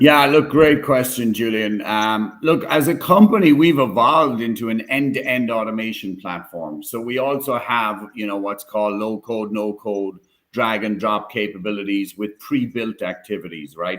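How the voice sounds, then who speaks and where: A man speaks with an Irish accent. He leaves hardly any pauses. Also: medium pitch for a man, ordinary pitch variation, moderate pace. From Ireland, Cork. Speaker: tech company executive. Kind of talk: live stream panel discussion.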